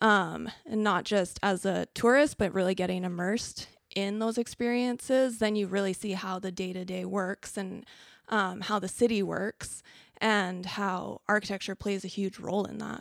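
In a Canadian accent, a woman with medium pitch and an ordinary speaking voice talks at a moderate pace with fairly even intonation. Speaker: designer and artist. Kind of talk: casual interview. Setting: studio.

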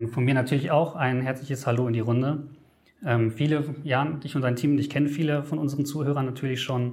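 A man's fairly high, somewhat breathy voice at a fairly quick pace, monotone and flat, with very even loudness and audible room echo. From Germany. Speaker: travel editor. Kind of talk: interview. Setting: studio.

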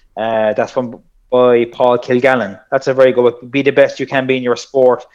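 A man speaks in a Kerry accent. His pitch is medium and his pace moderate. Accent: Irish, Kerry. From South Kerry, Ireland. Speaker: personal trainer and strength coach. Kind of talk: casual interview chat.

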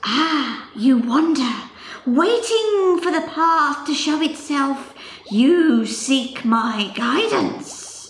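At a very slow pace, a woman speaks with a high pitch and lively intonation. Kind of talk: mock-mystical pronouncement. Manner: portentous, imperious.

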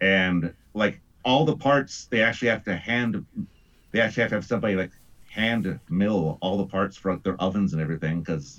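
A normal speaking voice with an American accent and lively intonation. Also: man. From US Midwest. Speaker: guest, radio producer and actor. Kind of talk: casual podcast discussion.

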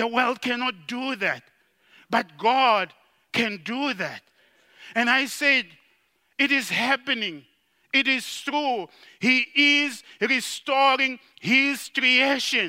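A man with an extremely high pitch talks in a raised, projected voice with a bright, sharp tone, fairly even intonation, a very slow pace and long, frequent pauses, on a very clean recording with a silent background. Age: young. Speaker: general superintendent of a church. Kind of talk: sermon. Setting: retreat with live audience.

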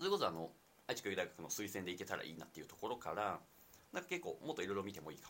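A man speaks at a very fast pace, his loudness swinging widely. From Nagoya, Japan. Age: 20s. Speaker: university student and startup co-founder. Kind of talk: casual chat. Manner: hesitant, many fillers.

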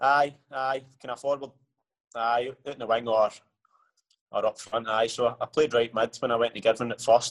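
Speaking with a Scottish accent, a man at medium pitch talks in a monotone, flat intonation with long, frequent pauses, the sound dry and close with no echo. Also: moderate pace. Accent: Scottish (Ayrshire). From Scotland, Ayrshire (Ayr). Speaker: professional footballer. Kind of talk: casual interview. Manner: hesitant, many fillers.

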